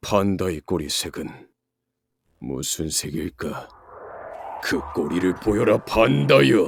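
A man's put-on character voice, very deep and low, at a fairly slow pace with long, frequent pauses. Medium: dub.

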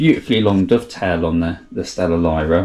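This man's voice sits very deep and low. It is somewhat breathy. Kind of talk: equipment walkthrough. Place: home room.

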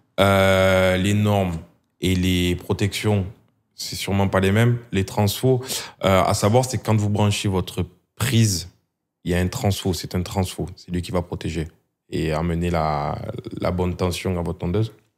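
A man with a very deep, low pitch speaks at a fairly slow pace with fairly even intonation. He leaves long, frequent pauses. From southern France. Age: 30s. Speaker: hair clipper brand marketing employee; guest. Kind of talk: casual interview. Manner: hesitant, many fillers. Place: studio. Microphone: studio mic.

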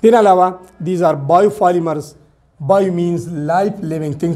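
A man with a Pashto accent, high-pitched, with a dark, mellow tone and fairly even intonation. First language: Pashto (speaking Hindi). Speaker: science teacher on YouTube. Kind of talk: lecture. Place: classroom. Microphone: lapel.

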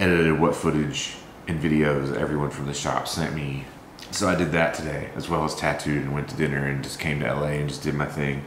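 In a monotone with flat intonation, a man with a very deep, low pitch talks at a fairly quick pace, with audible room echo and light background noise. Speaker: vlogger. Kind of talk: casual vlog chat. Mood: grieving, somber. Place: kitchen. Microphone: camera far.

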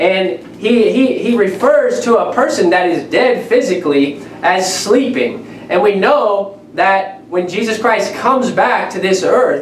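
A man speaks at a fairly slow pace. There is audible room echo and light background noise. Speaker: preacher. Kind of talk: sermon. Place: home room.

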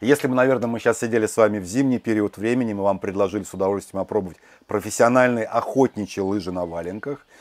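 Against a quiet background, a man with a fairly low voice talks at a very fast pace. His pitch varies in an ordinary way, and his loudness swings widely. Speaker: glamping co-founder. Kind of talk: promotional tour. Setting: outdoors. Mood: friendly, good-humoured. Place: forest. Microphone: lapel.

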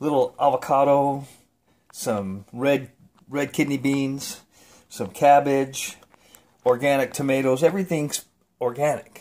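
This man speaks at a fairly slow pace. His pitch is medium. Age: 50s. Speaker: home cook vlogger. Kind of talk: casual talk to camera. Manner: enthusiastic, casual. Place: kitchen. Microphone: phone near.

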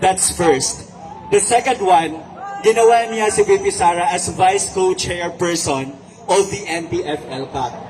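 A man with a Philippine accent speaks at a very slow pace in a high pitch, with noticeable background noise. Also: ordinary pitch variation. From Visayas. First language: Cebuano (speaking Tagalog). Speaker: online writer. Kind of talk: rally speech. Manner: code-switching English and Tagalog.

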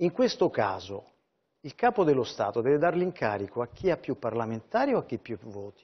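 At a fairly quick pace, a man of medium pitch speaks with very wide pitch swings and big swings in loudness. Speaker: newspaper columnist. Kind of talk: political TV interview.

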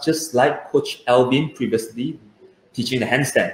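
The man's voice carries audible room echo. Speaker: swim coach. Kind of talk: online kids lesson. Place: home room. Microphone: webcam.

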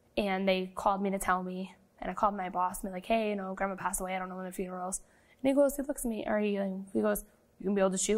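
A woman speaks at a very fast pace with a quiet background behind her. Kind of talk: interview answer. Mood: light, storytelling, some rueful humor. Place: studio.

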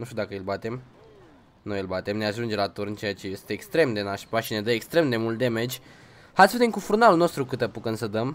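This man speaks fairly quickly. The rise and fall of his pitch is typical. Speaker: gaming streamer. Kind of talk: casual gameplay commentary. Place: home room.

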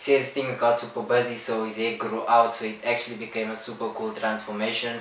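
At a fairly quick pace, a man talks amid audible room echo and light background noise. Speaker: barber youtuber. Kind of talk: casual vlog chat. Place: home room.

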